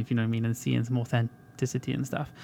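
The very clean recording, with a silent background, captures a man with a Welsh accent at a medium pitch. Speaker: podcast co-host. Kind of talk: casual chat.

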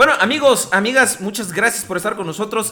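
A man speaks in a raised, projected voice with lively intonation. Noticeable background noise is present. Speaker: podcast host. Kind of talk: casual chat. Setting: live internet radio broadcast.

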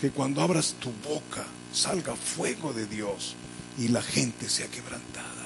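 A man speaks fairly slowly with audible room echo, and noticeable background noise is present. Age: 70s. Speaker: pastor. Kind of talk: sermon.

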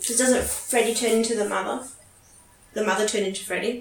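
A woman's fairly high voice at a fairly quick pace, with fairly even intonation and noticeable background noise. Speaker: podcast co-host. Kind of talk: casual movie commentary chat.

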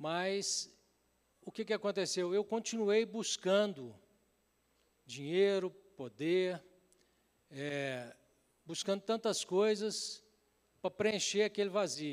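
A man's high-pitched voice at a very slow pace, with ordinary pitch variation and long, frequent pauses. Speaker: pastor. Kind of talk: sermon with personal testimony. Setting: church service with congregation.

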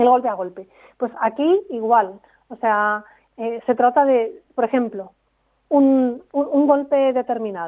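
Her pitch high, a woman speaks at a fairly slow pace with lively intonation. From Spain, Segovia. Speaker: performance coach. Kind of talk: interview.

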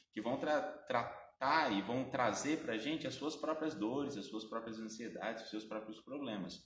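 Audible room echo surrounds a man speaking at a moderate pace and medium pitch with ordinary pitch variation. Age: 20s. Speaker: art history teacher. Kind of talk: explanatory interview.

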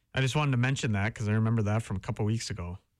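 A man speaks with a Wisconsin accent. The recording is very clean, the background silent. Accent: Upper Midwest (Wisconsin). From Wisconsin (Howard, near Green Bay). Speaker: college radio sports host. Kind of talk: sports talk show. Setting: radio studio.

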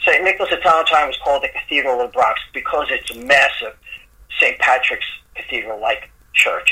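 Noticeable background noise runs behind the recording. A man with a New York accent talks at a very fast pace. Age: 60s. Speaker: singer-songwriter. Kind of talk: casual interview. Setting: remote call. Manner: halting, repeats words.

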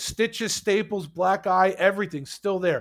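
Captured in a very clean recording with a silent background, a man with a New York accent talks at a moderate pace. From New York, Queens. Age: 40s. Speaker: hockey podcaster. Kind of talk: casual interview.

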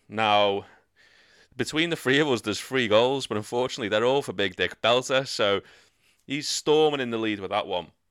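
A man at medium pitch, fairly quick, with ordinary pitch variation, in a very clean recording with a silent background. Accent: Liverpool. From northern England. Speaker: podcast host. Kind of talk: casual chat.

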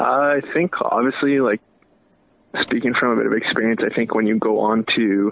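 At a moderate pace, a man with a normal speaking voice talks at a medium pitch, with ordinary pitch variation and very even loudness. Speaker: ice hockey team captain. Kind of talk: recorded interview.

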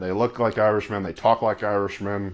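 Speaking at a moderate pace, a man with a fairly low pitch and a plain, everyday voice talks with a Canadian accent. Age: 20s. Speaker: wedding videographer. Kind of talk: casual chat. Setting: studio.

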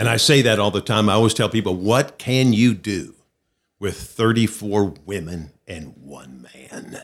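A man's fairly slow speech at fairly low pitch, with ordinary pitch variation and big swings in loudness. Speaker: pastor and speaker. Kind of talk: interview.

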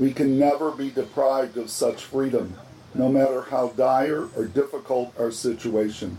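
Noticeable background noise around a man talking at a fairly slow pace. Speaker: archbishop. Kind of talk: guided rosary meditation with reflective reading. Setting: outdoor grotto at a monastery. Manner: calm, measured, formal.

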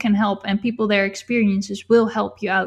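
Somewhat breathy and monotone, with flat intonation, a woman speaks in a non-native accent against a quiet background. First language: not English. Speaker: YouTuber and e-book author. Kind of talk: casual interview chat.

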